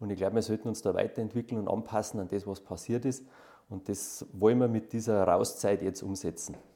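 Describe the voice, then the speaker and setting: A man speaks at a fairly quick pace in a dark, mellow tone. His pitch is fairly low and his intonation fairly even. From Bavaria, Reit im Winkl. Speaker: cross-country ski expert and sports shop owner. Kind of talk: interview. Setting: tourist information office.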